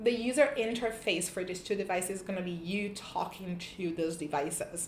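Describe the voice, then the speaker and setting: Heard with audible room echo, a woman with a non-native accent talks at a moderate pace and with ordinary pitch variation. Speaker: tech YouTuber. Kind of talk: casual tech review vlog. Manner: hesitant, many fillers and restarts.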